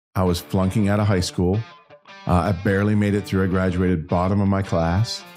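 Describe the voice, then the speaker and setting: With music in the background, a man speaks at a very deep, low pitch and fairly even intonation. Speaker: country singer-songwriter and entrepreneur. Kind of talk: podcast interview answer.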